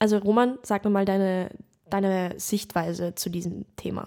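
The voice has a dark, mellow tone and fairly even intonation. The recording is very clean, with a silent background. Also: woman. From Lower Austria. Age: 20s. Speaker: actress, podcast co-host. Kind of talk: casual chat.

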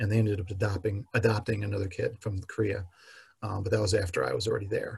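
A man with an American accent speaks at a very fast pace. His fairly low voice is somewhat breathy, with fairly even intonation. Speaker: podcast guest sharing life story. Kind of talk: personal testimony.

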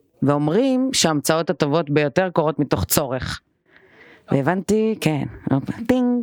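A woman with a very deep, low voice talks at a fairly slow pace with long, frequent pauses, very wide pitch swings and very even loudness, in a dry, close sound with no echo. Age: 20s. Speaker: stylist and lecturer. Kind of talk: podcast interview.

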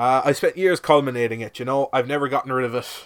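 With a Cork accent, a man speaks at medium pitch and a moderate pace. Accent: Cork Irish. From Ireland, Cork. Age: 20s. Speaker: podcast host. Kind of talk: comedic monologue. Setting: shed.

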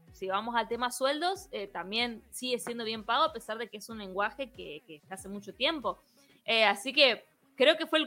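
With a Misiones Argentine accent, a woman talks at a moderate pace in a fairly high pitch, her tone bright and sharp and her intonation lively. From Argentina, Misiones province. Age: 30s. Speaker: software engineer and programming teacher. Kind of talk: interview.

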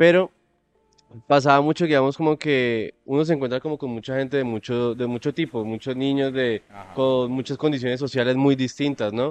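Speaking at a moderate pace in an unremarkable speaking voice, a man of medium pitch keeps a fairly even intonation, in a dry, close sound with no echo. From Colombia, Tuluá (Valle del Cauca). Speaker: podcast co-host. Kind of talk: casual chat.

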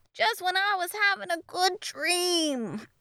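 In a put-on character voice, a woman speaks slowly at an extremely high pitch, with a bright, sharp tone and big pitch swings. The sound is dry and close, with no echo.

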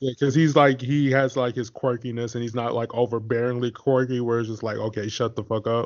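A man in a monotone, flat delivery, with hardly any pauses. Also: medium pitch for a man, fairly quick pace. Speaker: podcast host. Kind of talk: casual chat.

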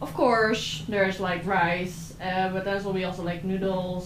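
Over noticeable background noise, a woman speaks at medium pitch and a fairly slow pace. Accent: Dutch. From southern Netherlands. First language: Dutch. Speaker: exchange student. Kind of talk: casual chat.

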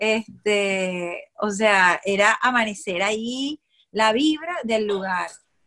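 The delivery is very slow. Pitch varies an ordinary amount. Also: woman, fairly high pitch for a woman. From Venezuela (Acarigua, Maracay). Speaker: traveler, former radio worker. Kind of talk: casual chat. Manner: animated.

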